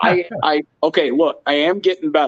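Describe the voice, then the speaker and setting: In a dry, close recording with no echo, a man with a Northeastern American accent talks at a fairly slow pace, his pitch swinging very widely. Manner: struggling to pronounce a word, self-conscious.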